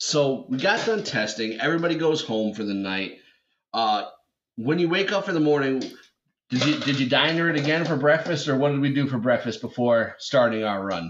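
This man has a plain, everyday voice with an American accent and a fairly high pitch. He talks at a fairly quick pace with lively intonation. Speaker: podcast host. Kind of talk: casual chat. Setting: late night, in person.

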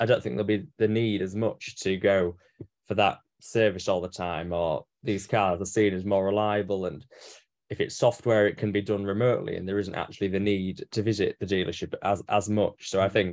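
A man with an English accent speaks at a moderate pace in a fairly low pitch, his intonation fairly even. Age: 20s. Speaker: motoring journalist. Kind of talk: casual chat. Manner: halting.

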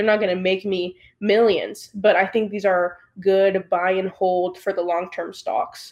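At a fairly slow pace, a woman with an American accent talks in a normal speaking voice. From United States. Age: 20s. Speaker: real estate agent and young investor. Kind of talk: interview.

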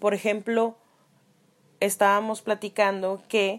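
The background is silent and the recording very clean. A woman talks in a medium pitch. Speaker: graphic design student podcasting for class. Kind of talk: casual solo podcast talk.

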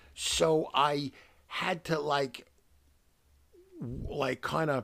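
This man has a fairly high pitch and speaks with an American accent. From New York City. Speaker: podcast host, gamer, parent. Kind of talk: casual chat.

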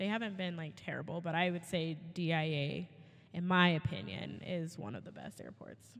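A woman with a normal speaking voice talks at a moderate pace in a fairly low pitch with ordinary pitch variation. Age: 30s. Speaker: kindergarten teacher and podcast co-host. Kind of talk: casual chat.

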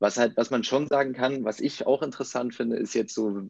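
A man speaks at a moderate pace in an unremarkable speaking voice. His intonation is fairly even. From northern Germany, near Bremen. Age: 30s. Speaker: former tennis pro, company co-founder. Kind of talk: podcast interview.

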